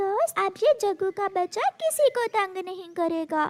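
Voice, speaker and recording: A woman's cartoonish character voice at an extremely high pitch and a fairly slow pace. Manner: soft, caring.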